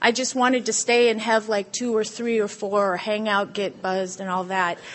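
With an American accent, a woman talks in a normal speaking voice at a fairly high pitch, her intonation fairly even. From Southern California. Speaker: recovering alcoholic speaker. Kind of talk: testimony.

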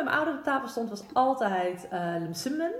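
A woman's rather high-pitched speech with very wide swings in pitch, amid clear background noise. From Netherlands, Amersfoort. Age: 30s. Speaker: municipal policy adviser. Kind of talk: interview. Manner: halting.

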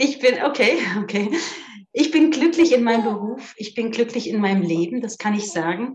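A woman speaks in a normal speaking voice at a moderate pace. Her intonation is lively. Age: 50s. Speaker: physiotherapist. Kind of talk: casual interview.

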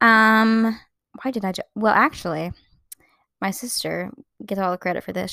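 A woman speaks on a very clean recording with a silent background. The sound is dry and close, with no echo. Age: 20s. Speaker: podcaster. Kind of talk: casual solo podcast chat. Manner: fast talker; sarcastic, laughs often.

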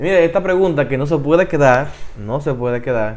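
A man speaks with lively intonation. His voice sits at a fairly high pitch. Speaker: youth ministry podcast host. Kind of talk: interview.

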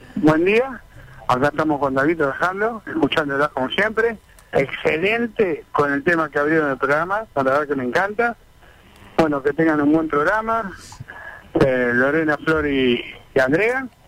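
A man's fairly high voice at a moderate pace, with lively intonation, long and frequent pauses, and noticeable background noise. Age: 60s. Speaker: retired bus driver, radio caller. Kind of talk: call-in chat.

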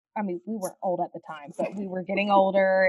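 An energetic, warm-toned woman with a Southern US accent, medium in pitch, at a fairly quick pace. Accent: Southern US twang, noticeable. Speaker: foster parent and foster care advocate. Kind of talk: podcast interview, conversational.

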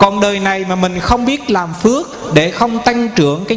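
There is noticeable background noise and audible room echo. A man speaks fairly slowly in a high-pitched voice. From Vietnam, Bình Định. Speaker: Buddhist monk. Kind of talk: sermon. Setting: temple hall with audience.

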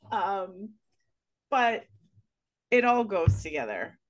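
Very slowly, a woman with a fairly high voice speaks over music in the background. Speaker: podcast host. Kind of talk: podcast interview, host intro and questions.

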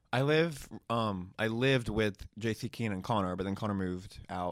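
This is a man with an American accent and an unremarkable speaking voice. The recording is very clean, with a silent background. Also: hardly any pauses. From Alabama, US South. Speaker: YouTuber. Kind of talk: casual chat.

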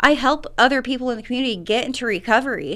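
A woman speaks at a fairly quick pace in a high voice with a bright, sharp tone. The recording is very clean, the background silent. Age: 30s. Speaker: recovery program coordinator. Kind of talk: radio interview. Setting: radio studio.

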